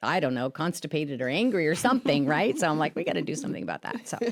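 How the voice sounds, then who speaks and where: Speaking at a very fast pace, a woman uses a very deep, low pitch. Her pitch swings very widely over noticeable background noise. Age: 60s. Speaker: podcast co-host. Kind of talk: casual podcast chat.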